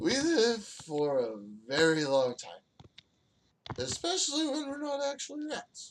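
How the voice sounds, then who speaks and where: A put-on character voice, fairly high in pitch, at a moderate pace with long, frequent pauses. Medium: actual play. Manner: rough, colloquial, evasive.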